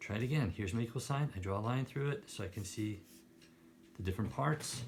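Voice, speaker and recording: A man talks at a very fast pace and medium pitch. His voice is somewhat breathy. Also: ordinary pitch variation. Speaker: math teacher. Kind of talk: tutorial.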